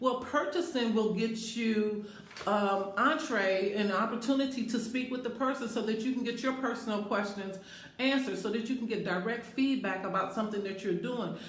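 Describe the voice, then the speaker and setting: A fairly high-pitched woman's voice at a moderate pace, with ordinary pitch variation, audible room echo and noticeable background noise. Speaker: life coach and speaker. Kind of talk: live stream monologue. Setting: Facebook live video in a bathroom.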